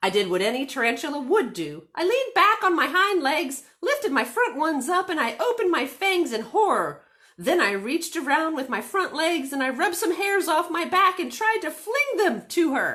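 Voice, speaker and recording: Using a put-on character voice, a woman speaks at extremely high pitch with very wide pitch swings. Her voice is raised and projected, at a moderate pace. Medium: read story. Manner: chatty, earnest storyteller.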